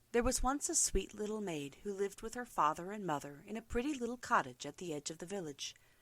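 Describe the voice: Plain reading aloud carries lively intonation.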